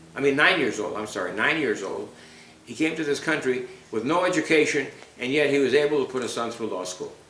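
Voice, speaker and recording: Speech comes at a very fast pace with lively intonation. Noticeable background noise and audible room echo are present. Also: man, fairly high pitch for a man. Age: 80s+. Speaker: retired attorney, father interviewed by daughter. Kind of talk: family oral history interview. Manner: halting, with frequent repetitions.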